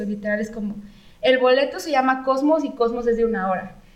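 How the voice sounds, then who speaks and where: With audible room echo, a woman with a high pitch speaks at a fairly quick pace. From Mexico, San Luis Potosí. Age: 30s. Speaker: architect and designer. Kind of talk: casual interview.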